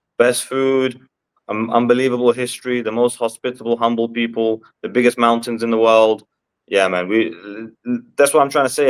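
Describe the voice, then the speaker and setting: A very fast man's voice at medium pitch with a London accent, on a very clean recording with a silent background. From London, England. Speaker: MMA fighter. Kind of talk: interview. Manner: halting.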